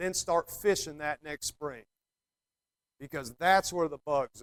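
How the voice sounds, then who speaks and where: Captured dry and close with no echo, a man with an American accent speaks at a fairly high pitch with ordinary pitch variation and big swings in loudness. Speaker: fly fishing guide. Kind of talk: talk to a club meeting. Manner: casual, hesitant with ums.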